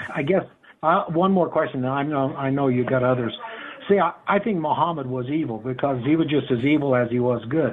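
A man's fairly high voice at a fairly quick pace, with ordinary pitch variation over noticeable background noise. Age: 50s. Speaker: caller. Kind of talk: call-in question.

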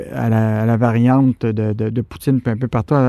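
A man with a Quebec accent, a dark, mellow tone and a fairly slow pace, in a dry, close sound with no echo. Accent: Québécois French. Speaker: radio host. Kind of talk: radio interview. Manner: hesitant, many fillers and repetitions.

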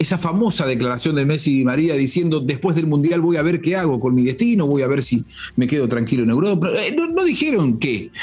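Very fast speech from a man pitched fairly high, ordinary pitch variation, noticeable background noise throughout. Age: 40s. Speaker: football pundit. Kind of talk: solo football commentary podcast.

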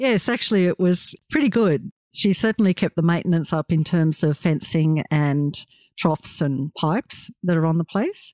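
A woman with an Australian accent talks at a moderate pace in a fairly low pitch, her intonation lively. Her loudness stays very even, and the recording is very clean with a silent background. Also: dry, close sound with no echo. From Australia, rural New South Wales near Dubbo. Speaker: farmer. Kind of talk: interview. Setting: on the farm.

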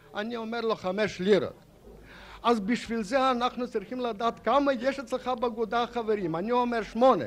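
A man speaks at a moderate pace with fairly even intonation. His pitch is extremely high for a man. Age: old. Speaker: painter. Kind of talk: storytelling.

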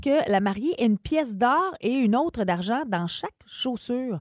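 With a dry, close sound and no echo, a woman speaks at a fairly high pitch, her voice making very wide pitch swings. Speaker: morning radio co-host. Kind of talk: casual radio chat.

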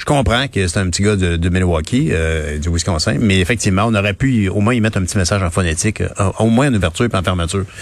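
A man with a Quebec accent talks at a very fast pace in a very deep, low pitch. Noticeable background noise runs underneath. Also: ordinary pitch variation. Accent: Québécois French. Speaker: radio host. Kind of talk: casual chat.

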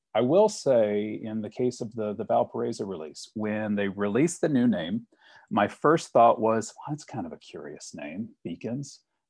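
A man with an American accent talks at a moderate pace in an ordinary speaking voice, his pitch medium. His intonation is lively, and the background is quiet. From Virginia, Richmond. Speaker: graphic designer. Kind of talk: podcast interview.

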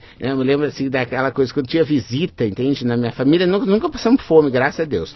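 Lively intonation marks this man's speech, delivered at a medium pitch in a southern Brazilian accent. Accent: gaúcho Brazilian Portuguese. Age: 40s. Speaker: innovation professor and facilitator. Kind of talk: casual chat.

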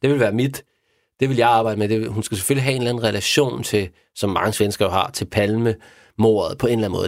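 On a very clean recording with a silent background, a man of medium pitch speaks in monotone, flat intonation. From Denmark. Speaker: crime novelist. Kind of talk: casual chat. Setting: studio. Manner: halting.

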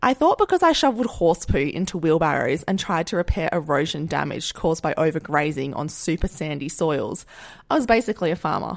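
A woman with an Australian accent talks at a fairly quick pace with a fairly low pitch and lively intonation. The recording is very clean, with a silent background. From Western Australia, Perth suburbs. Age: 30s. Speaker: podcast host and agriculture worker. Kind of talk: casual solo monologue.

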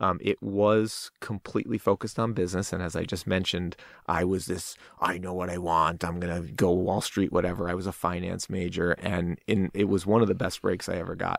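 A man with an American accent and a very deep, low pitch talks at a fairly quick pace with fairly even intonation. The recording is very clean, with a silent background. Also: dry, close sound with no echo. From northern New Jersey (Fair Lawn, NYC suburb). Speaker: tech startup CEO. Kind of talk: casual interview.

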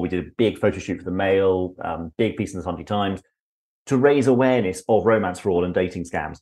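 Fairly quick speech with a British accent and ordinary pitch variation. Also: man. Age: 50s. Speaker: public speaking coach and professional speaker. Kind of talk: casual interview chat.

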